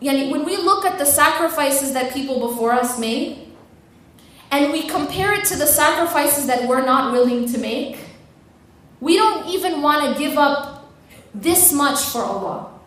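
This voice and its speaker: Noticeable background noise sits behind this recording. A woman speaks at a high pitch and a moderate pace. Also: ordinary pitch variation. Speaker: Islamic lecturer. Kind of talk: Islamic lecture / motivational talk to an audience.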